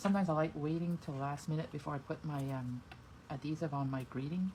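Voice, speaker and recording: Somewhat breathy, a woman speaks at a very deep, low pitch. Her intonation stays fairly even. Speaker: card-making demonstrator. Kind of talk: tutorial. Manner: soft-spoken at times; casual, thinking aloud.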